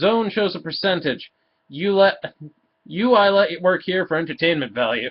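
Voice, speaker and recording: A man puts on a gruff character voice, pitched high. He speaks at a moderate pace. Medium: read story. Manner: gruff, grunting.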